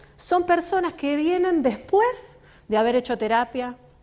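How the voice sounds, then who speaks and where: This is a woman speaking with a Rioplatense accent. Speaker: author and work psychologist. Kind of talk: book launch talk. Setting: stage with audience.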